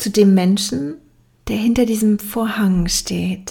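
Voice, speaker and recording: Very slowly and somewhat breathily, a woman speaks at a medium pitch in a dark, mellow tone on a very clean recording with a silent background. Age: 30s. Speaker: podcast host, yoga teacher and life coach. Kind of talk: solo podcast introduction.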